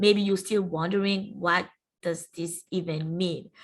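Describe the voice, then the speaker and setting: Speaking at a fairly slow pace, a woman with a French accent holds a medium pitch and a monotone, flat intonation. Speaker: university entrepreneurship centre staff presenter. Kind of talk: webinar presentation. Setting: online webinar.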